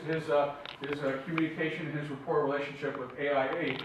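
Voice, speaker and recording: A man is heard with audible room echo. Noticeable background noise is also present. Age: 60s. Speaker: product representative lecturer. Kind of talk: lecture. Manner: halting, many fillers.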